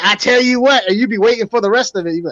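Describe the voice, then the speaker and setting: A man speaks in a New York accent at an extremely high pitch, his tone animated. The sound is dry and close, with no echo. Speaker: aquarium fish YouTube live streamer. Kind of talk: casual chat on live stream.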